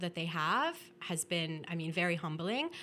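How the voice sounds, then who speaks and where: A woman with a Canadian accent has a plain, everyday voice, a fairly low pitch and ordinary pitch variation. She keeps a moderate pace, and the recording is very clean with a silent background. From Ontario, Canada (Welland). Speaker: public health consultant. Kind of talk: casual interview chat. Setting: studio office.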